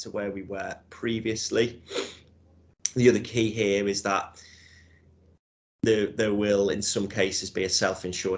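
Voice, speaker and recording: With a Liverpool accent, a man speaks at a fairly low pitch. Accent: Scouse. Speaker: insurance broker. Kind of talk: webinar presentation. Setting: room with audience.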